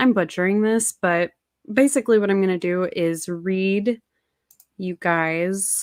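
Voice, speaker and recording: The voice is quiet, at a fairly slow pace, with ordinary pitch variation. The sound is dry and close with no echo on a very clean recording with a silent background. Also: woman, medium pitch for a woman. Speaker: anti-MLM content creator. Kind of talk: casual livestream talk. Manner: speaking quietly; halting.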